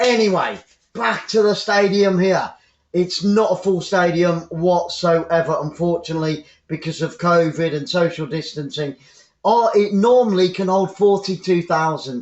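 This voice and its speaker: A man's high-pitched voice with an English accent. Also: ordinary pitch variation, moderate pace. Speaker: football commentator. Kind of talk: live commentary. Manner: animated.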